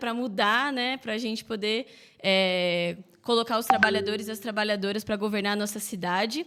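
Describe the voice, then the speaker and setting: The speaker keeps a moderate pace with ordinary pitch variation. There is noticeable background noise. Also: woman. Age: 20s. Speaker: mayoral candidate. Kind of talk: political interview. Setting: podcast live stream.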